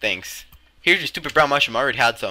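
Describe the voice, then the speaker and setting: Music plays in the background as a man speaks. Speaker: Minecraft roleplay YouTuber. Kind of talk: heated argument in a gameplay roleplay. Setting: gameplay recording with voiceover. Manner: sarcastic, blunt, and quick to snap back; stumbling, repeating words mid-sentence.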